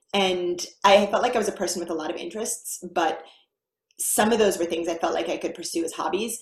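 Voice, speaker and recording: With audible room echo, a woman speaks at a fairly quick pace in an American accent, her intonation fairly even. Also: medium pitch for a woman. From United States. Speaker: mathematician, university lecturer. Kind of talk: interview, casual conversation.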